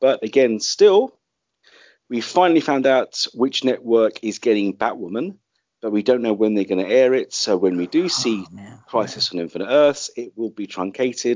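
In a British accent, a man talks at a fairly quick pace. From UK. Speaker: podcast host. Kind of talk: casual chat.

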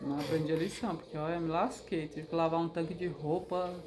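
A woman with a fairly low pitch talks at a fairly quick pace over noticeable background noise. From Brazil, Mato Grosso (Cáceres). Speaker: host's mother, interviewee. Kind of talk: casual chat, life story.

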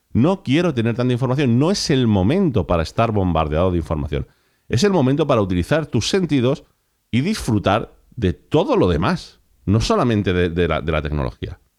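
On a very clean recording with a silent background, a man talks at a fairly quick pace in an animated tone, his medium pitch swinging very widely, his loudness very even and his voice showing vocal fry. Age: 40s. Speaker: podcast host. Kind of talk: solo podcast monologue.

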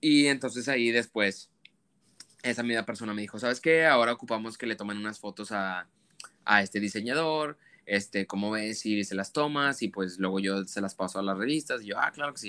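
A man talks at a fairly quick pace in a bright, sharp tone with ordinary pitch variation. The recording is very clean, with a silent background. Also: fairly low pitch for a man. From Monterrey, Mexico. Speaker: fashion photographer. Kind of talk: interview conversation.

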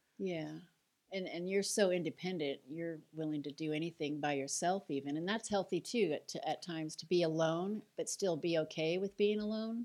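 The recording is very clean with a silent background, carrying a woman's plain, everyday voice at a fairly low pitch, moderate pace and ordinary pitch variation. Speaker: podcast host. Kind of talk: casual chat. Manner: warm.

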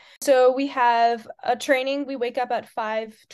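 Against a quiet background, a woman speaks with an American accent at a high pitch. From United States. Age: 20s. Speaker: student athlete, rower. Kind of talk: interview.

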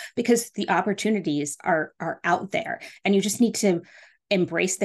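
A normal speaking voice at a moderate pace, with ordinary pitch variation and a quiet background. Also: woman. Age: 40s. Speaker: podcast host and business coach. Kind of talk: solo podcast monologue. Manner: casual, many filler words.

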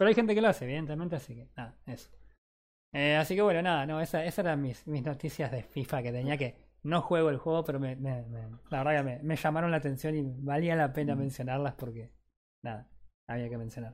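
A man speaks at a very fast pace in a fairly high pitch, with a Rioplatense accent. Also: ordinary pitch variation. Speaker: gaming podcast host. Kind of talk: casual chat.

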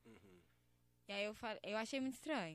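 This is an ordinary speaking voice. It has ordinary pitch variation. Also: woman. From Belo Horizonte, Brazil. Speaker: funk MC. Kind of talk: casual interview chat. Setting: studio.

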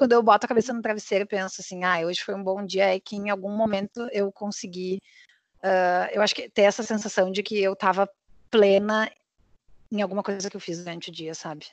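On a quiet background, a woman with an unremarkable speaking voice talks at a fairly quick pace and medium pitch, her intonation fairly even but her loudness swinging widely. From southern Brazil, Porto Alegre. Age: 30s. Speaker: podcast co-host. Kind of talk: casual chat.

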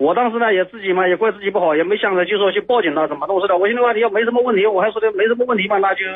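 A man with a high pitch speaks at a very fast pace, with ordinary pitch variation. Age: 40s. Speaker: former taxi driver, caller. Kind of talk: phone call-in. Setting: phone call.

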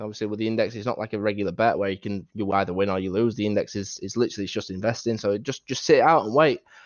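A man at medium pitch with a Yorkshire accent, talking at a very fast pace. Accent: Yorkshire, northern English. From Doncaster, northern England. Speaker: Football Index trader, guest. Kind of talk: casual interview chat.

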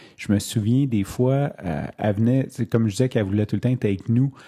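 Fairly even intonation from a man with a dark, mellow tone and medium pitch, over a quiet background. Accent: Quebec. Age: 30s. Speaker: podcaster. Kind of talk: personal monologue. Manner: hesitant, many fillers.

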